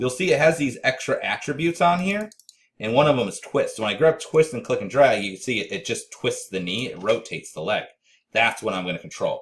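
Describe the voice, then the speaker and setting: A man speaks at a fairly quick pace. His loudness swings widely. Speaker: 3D animation instructor. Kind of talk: tutorial. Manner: fast; casual with many fillers.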